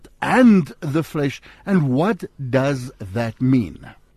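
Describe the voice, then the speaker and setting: A man with an Afrikaans South African accent. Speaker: radio host. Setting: studio. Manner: warm, upbeat.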